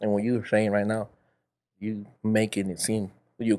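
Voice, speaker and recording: A man with a Spanish accent speaks at a fairly low pitch and a moderate pace. The recording is very clean, with a silent background. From El Salvador. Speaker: podcast host. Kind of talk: casual chat.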